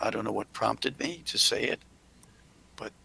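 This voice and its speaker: A man whispering at a moderate pace. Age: 80s+. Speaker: hotel owner and philanthropist. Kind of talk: interview Q&A. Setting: video call.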